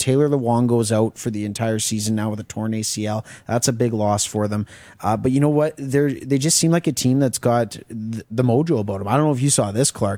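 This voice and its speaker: A man speaks at a fairly quick pace in a plain, everyday voice. His pitch sits in the middle range and varies in an ordinary way. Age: 20s. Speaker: co-host. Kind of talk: casual sports talk show. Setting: studio.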